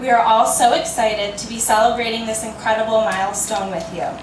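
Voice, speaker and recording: A woman with an American accent and a fairly high pitch talks over noticeable background noise with audible room echo. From New Jersey. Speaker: family friend giving a toast. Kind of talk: reading a poem aloud; birthday toast speech. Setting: party with audience. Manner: fast.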